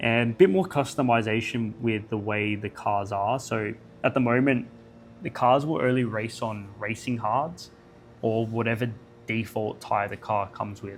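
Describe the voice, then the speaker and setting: Over music in the background, a man speaks at a medium pitch and a moderate pace with ordinary pitch variation. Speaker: gaming youtuber. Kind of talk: casual video commentary. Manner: halting, self-correcting.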